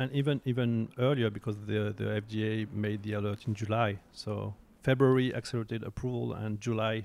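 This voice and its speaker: A man talks at a fairly quick pace with a French accent. His intonation is monotone and flat, with hardly any pauses. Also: fairly low pitch for a man. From France. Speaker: oncologist. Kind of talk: interview. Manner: halting.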